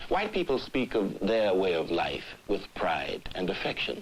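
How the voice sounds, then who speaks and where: A man speaks with lively intonation at a moderate pace. There is noticeable background noise. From Southern United States. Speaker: narrator. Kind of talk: documentary narration. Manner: eloquent, measured.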